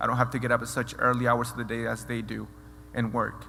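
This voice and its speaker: There is audible room echo as a man talks at a fairly quick pace with a Spanish accent. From Mexico. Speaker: mentoring program alumnus. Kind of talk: speech. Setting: stage with audience. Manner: halting.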